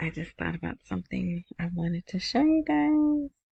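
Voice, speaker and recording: Over a quiet background, a woman with a somewhat breathy, medium-pitched voice is heard in a dry, close sound with no echo. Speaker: podcast host. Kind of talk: casual news commentary. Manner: rambling, unfinished sentences.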